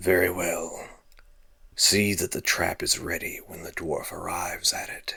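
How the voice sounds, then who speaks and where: Putting on a raspy character voice, a man speaks at a moderate pace with big swings in loudness. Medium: read story. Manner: terse, cold.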